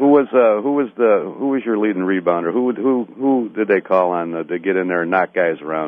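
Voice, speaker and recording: A man with an ordinary speaking voice, fairly low in pitch, lively in intonation, at a fairly quick pace with hardly any pauses. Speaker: radio host doing a live remote broadcast. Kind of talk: radio interview. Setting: live remote broadcast at a venue.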